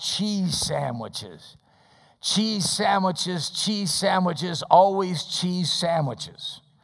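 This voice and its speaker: A growling, put-on character voice at a middle pitch delivers its lines very slowly. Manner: grumpy, growling.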